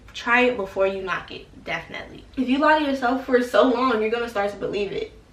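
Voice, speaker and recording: With lively intonation and a fairly quick pace, a woman speaks in a high voice over noticeable background noise and audible room echo. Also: big swings in loudness. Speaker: YouTuber giving college advice. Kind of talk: casual vlog talk to camera. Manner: casual, hesitant with repetitions.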